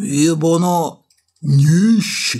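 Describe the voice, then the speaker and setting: A put-on character voice at a middle pitch. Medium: fan dub. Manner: authoritative, calm.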